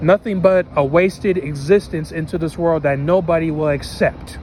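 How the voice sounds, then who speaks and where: A man speaks at a fairly slow pace in a high voice, with ordinary pitch variation. Noticeable background noise sits under his words. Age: 20s. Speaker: vlogger. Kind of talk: personal vlog monologue.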